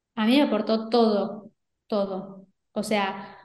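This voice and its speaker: Over audible room echo, a woman speaks very slowly at a fairly high pitch. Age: 30s. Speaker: entrepreneur and online course creator. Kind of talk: interview.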